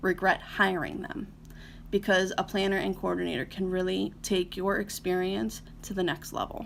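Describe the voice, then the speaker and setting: A woman's medium-pitched voice with an American accent and ordinary pitch variation. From US, Northeast Ohio. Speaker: wedding planner. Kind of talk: live stream talk to viewers. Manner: fast; hesitant, many fillers.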